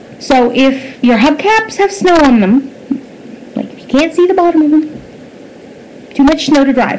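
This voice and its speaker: A woman with a high voice and a Maritime Canadian accent, lively intonation, a fairly slow pace, and noticeable background noise. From Nova Scotia, Canada. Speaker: vlogger. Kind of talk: opinion commentary monologue. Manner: animated.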